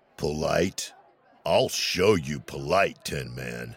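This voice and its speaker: A man uses a put-on character voice, very deep, low and raspy, with a menacing tone. He speaks at a very slow pace. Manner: menacing, arrogant.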